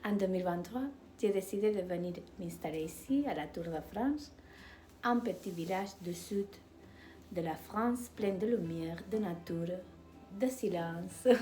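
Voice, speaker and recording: A woman's very slow speech with long, frequent pauses, lively intonation, and audible room echo. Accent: Spanish. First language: Spanish (speaking French). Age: 50s. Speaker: doctor and regression therapist. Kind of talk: personal video talk. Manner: halting, hesitant.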